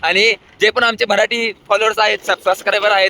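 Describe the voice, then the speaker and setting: A man's high, bright and sharp voice, animated, raised and projected, in a dry, close sound with no echo. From Maharashtra, India. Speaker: vlogger. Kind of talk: casual vlog chat.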